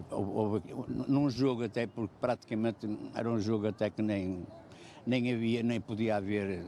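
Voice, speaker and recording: A man speaks here. His tone is dark and mellow. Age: 70s. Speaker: passer-by interviewed in street vox pop. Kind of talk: street interview. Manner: halting, repetitive.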